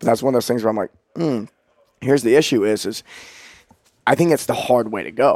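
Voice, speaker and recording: A man's medium-pitched voice with ordinary pitch variation in a dry, close sound with no echo. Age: 30s. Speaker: coach and company founder. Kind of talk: casual podcast interview. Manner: passionate, uses profanity.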